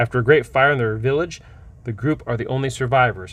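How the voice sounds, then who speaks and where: Somewhat breathy and at medium pitch, a man talks at a fairly quick pace against a quiet background. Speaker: game store owner reviewing tabletop books. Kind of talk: product review. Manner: fast.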